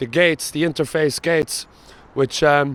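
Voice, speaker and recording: A man with a strong Cork accent is recorded with a dry, close sound with no echo. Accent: thick Cork. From Ireland, Cork. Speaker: travel vlogger. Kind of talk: casual vlog narration.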